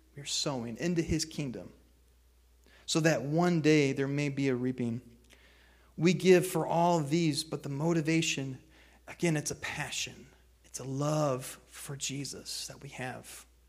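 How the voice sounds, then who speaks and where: A man with an American accent speaks at a fairly slow pace in a fairly high pitch, his intonation fairly even and his loudness swinging widely. Long pauses come often, and the room echoes audibly. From US Midwest, suburbs of St. Louis, Missouri. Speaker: guest preacher. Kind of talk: sermon. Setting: church. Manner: halting, frequent fillers and repetitions.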